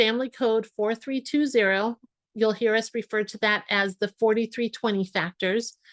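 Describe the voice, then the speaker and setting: Recorded with a dry, close sound and no echo, a plain, everyday voice moves at a moderate pace with fairly even intonation. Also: woman, quiet background. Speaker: family law attorney. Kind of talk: webinar presentation. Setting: online webinar.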